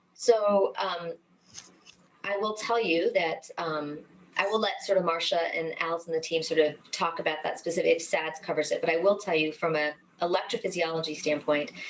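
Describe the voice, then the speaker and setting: A woman speaks at a fairly low pitch with ordinary pitch variation. Noticeable background noise runs under her voice. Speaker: cardiologist. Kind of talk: webinar lecture; Q&A answer. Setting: online webinar. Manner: fast; many fillers, um and sort of.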